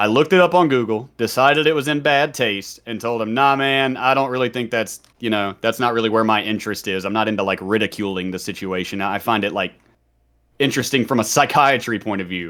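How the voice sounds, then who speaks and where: A man with a Southern US accent, medium-pitched, fairly quick, with ordinary pitch variation. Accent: mild Southern. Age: 30s. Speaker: streamer and former prisoner. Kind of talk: podcast interview storytelling. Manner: casual, conversational.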